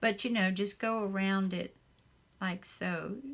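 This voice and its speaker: On a very clean recording with a silent background, a woman with a Southern US accent talks at a fairly slow pace in a somewhat breathy voice of medium pitch. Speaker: crafter. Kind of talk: casual craft tutorial talk.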